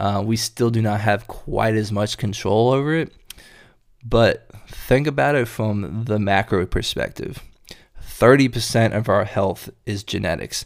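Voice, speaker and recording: A man's medium-pitched voice in an American accent, with ordinary pitch variation at a fairly slow pace. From North Carolina (Durham, Chapel Hill). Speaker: health and fitness podcast host. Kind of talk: solo podcast monologue.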